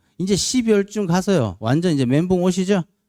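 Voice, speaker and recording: A man with a dark, mellow tone talks at a moderate pace. The sound is dry and close with no echo, on a very clean recording with a silent background. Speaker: lecturer for police promotion exams. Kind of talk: lecture.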